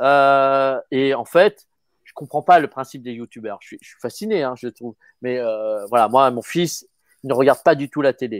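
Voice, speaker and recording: At a moderate pace, an unremarkable speaking voice shows big swings in loudness, with a dry, close sound with no echo and a very clean recording, silent background. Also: man, medium pitch for a man, ordinary pitch variation. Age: 50s. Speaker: actor. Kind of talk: casual chat.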